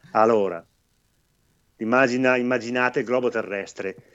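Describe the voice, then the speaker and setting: A man talks with a normal speaking voice and ordinary pitch variation. His pace is moderate. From northern Italy, Belluno province. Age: 50s. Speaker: baker and ultrarunner. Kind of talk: casual interview. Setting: live video stream.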